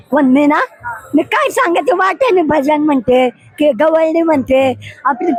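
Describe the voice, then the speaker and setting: Background music with a dry, close sound and no echo. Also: woman. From Shirur, Maharashtra. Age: 80s+. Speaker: warkari pilgrim. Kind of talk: interview answer.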